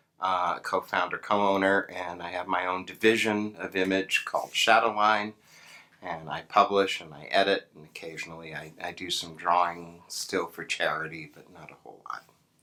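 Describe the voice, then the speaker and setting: A man with an American accent and a very deep, low pitch speaks at a moderate pace in a bright, sharp tone, with fairly even intonation and big swings in loudness. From New York, the Bronx. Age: 60s. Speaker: comic book publisher. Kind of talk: interview. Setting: convention venue.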